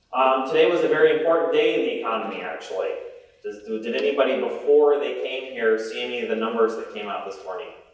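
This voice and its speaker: A man talks at a very fast pace with big swings in loudness, amid audible room echo and noticeable background noise. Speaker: investment presenter. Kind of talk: presentation. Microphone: microphone problems, may need to yell.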